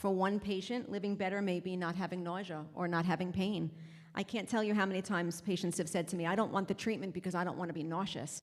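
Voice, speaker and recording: The delivery is monotone and flat, rushing along at a very fast pace. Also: woman. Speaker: palliative care provider. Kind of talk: conference talk.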